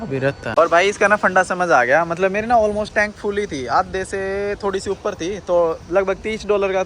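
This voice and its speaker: The man speaks at a high pitch. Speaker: travel vlogger. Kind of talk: casual vlog narration. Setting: outdoors at petrol station. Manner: casual, conversational.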